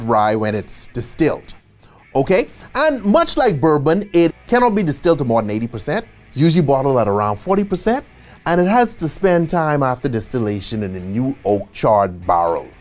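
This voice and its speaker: A Caribbean accent at a moderate pace, with music in the background. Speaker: bartending instructor. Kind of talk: tutorial. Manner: casual, conversational.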